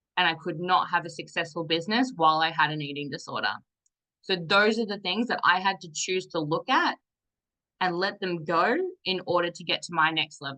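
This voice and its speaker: The voice is loud, bright and sharp, moving at a moderate pace with ordinary pitch variation against a quiet background. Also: woman. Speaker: business and fitness coach. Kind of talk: motivational talk.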